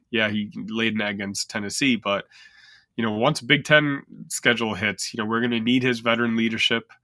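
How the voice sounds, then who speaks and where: A man speaks fairly quickly in a bright, sharp tone with fairly even intonation. The sound is dry and close, without echo. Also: medium pitch for a man, very clean recording, silent background. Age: 40s. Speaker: sports podcast co-host. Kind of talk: casual chat.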